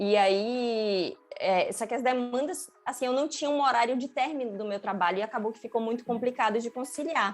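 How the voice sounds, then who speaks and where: Pitched high, a woman speaks at a moderate pace with hardly any pauses. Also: ordinary pitch variation. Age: 30s. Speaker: UX designer, former marketing professional. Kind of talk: interview. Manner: hesitant, many filler sounds.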